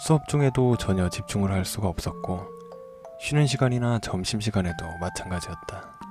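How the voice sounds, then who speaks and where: Music in the background beneath a moderate pace and lively intonation. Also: man, fairly low pitch for a man. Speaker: horror radio narrator. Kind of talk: horror story narration, read aloud in first person.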